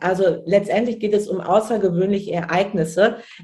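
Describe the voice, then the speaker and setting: An unremarkable speaking voice from a woman, pitched in the medium range. She talks at a moderate pace with ordinary pitch variation. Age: 30s. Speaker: childcare manager and trainer. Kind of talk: casual interview.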